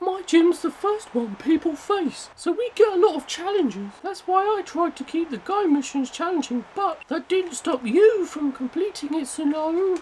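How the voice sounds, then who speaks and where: A put-on character voice at an extremely high pitch. It keeps a moderate pace with hardly any pauses. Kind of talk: casual let's play commentary. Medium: role play.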